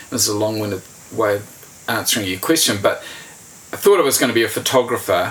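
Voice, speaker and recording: At a very fast pace, a man with a New Zealand accent talks at a medium pitch with ordinary pitch variation over noticeable background noise. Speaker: journalist. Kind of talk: casual interview.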